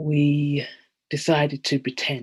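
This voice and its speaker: A very slowly paced voice with a London accent. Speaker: theatre director. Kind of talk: panel discussion on video call. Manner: halting, with fillers.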